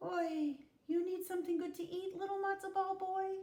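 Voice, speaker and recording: A squeaky, put-on character voice sits at an extremely high pitch with monotone, flat intonation. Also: moderate pace. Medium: read story. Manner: warm, hospitable.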